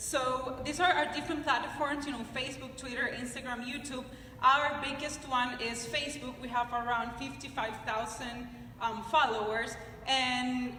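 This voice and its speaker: In a Nicaraguan accent, a woman speaks at a high pitch and a moderate pace, her intonation fairly even. Noticeable background noise and audible room echo fill the recording. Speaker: personal finance blogger and TV presenter. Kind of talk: conference talk. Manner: halting, with many fillers.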